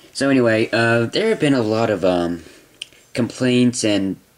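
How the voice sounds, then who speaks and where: A man talks at a fairly slow pace with ordinary pitch variation, with noticeable background noise behind him. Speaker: toy reviewer. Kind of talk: product review. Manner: hesitant, many fillers.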